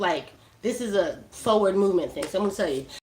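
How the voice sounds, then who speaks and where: A woman speaks in a Brooklyn accent, her tone animated and her intonation lively. Noticeable background noise runs underneath. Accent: New York (Brooklyn). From New York, Brooklyn. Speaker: cannabis hash maker and streamer. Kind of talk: live-stream tutorial.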